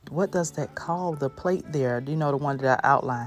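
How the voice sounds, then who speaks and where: A woman speaks with a very deep, low pitch and an upbeat tone at a fairly quick pace, with ordinary pitch variation. Music plays in the background. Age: 30s. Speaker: DIY home decor creator. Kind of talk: casual DIY tutorial voiceover. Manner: chatty, upbeat.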